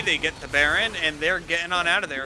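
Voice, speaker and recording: A man's high-pitched voice at a fairly quick pace, with music in the background. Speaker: esports caster. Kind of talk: live commentary. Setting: live stream. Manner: fast; animated.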